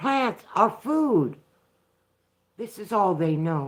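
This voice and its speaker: This woman speaks at a very slow pace with an American accent. Her pitch swings very widely. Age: 60s. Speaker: vlogger. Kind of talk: live stream commentary. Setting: live broadcast from home. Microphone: poor internet and phone connection.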